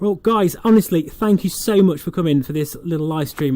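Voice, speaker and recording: With an East Midlands accent, a man speaks at a moderate pace in a dark, mellow tone with ordinary pitch variation. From England. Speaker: flight sim streamer. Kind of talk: livestream commentary with chat reading. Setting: home livestream. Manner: casual, chatty with fillers.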